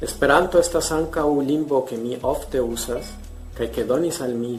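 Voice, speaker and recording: With a Spanish accent, a medium-pitched man speaks at a moderate pace with lively intonation. Audible room echo and noticeable background noise surround him. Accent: Spanish accent in other languages. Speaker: polyglot language youtuber. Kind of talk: scripted multilingual demonstration.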